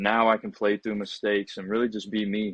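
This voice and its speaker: In a quiet background with a dry, close sound and no echo, a man talks fairly quickly in a fairly low, monotone, flat voice. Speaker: college basketball player. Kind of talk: interview. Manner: casual, conversational.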